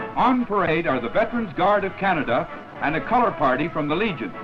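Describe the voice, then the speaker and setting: Over music in the background, a man talks at a very fast pace. His voice is high and swings very widely in pitch. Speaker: newsreel narrator. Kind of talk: newsreel narration.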